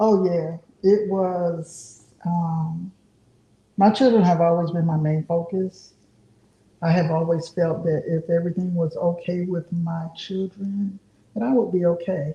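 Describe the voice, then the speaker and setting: A woman speaks at a fairly slow pace in a fairly low pitch, somewhat breathy. Her tone is dark and mellow, her intonation fairly even. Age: 60s. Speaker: artist. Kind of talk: casual chat.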